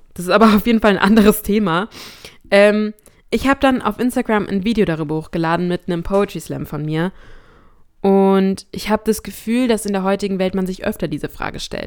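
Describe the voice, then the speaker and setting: It is an unremarkable speaking voice, a woman's, with a medium pitch and ordinary pitch variation. She speaks at a fairly quick pace on a very clean recording with a silent background. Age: 20s. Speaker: faith podcast host and student. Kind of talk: casual solo talk. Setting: alone in a room at home.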